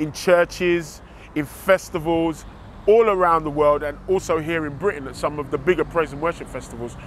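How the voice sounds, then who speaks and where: This man speaks with a London accent at a fairly high pitch. His pace is moderate and his intonation fairly even. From England, East London. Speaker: music producer. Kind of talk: promotional interview.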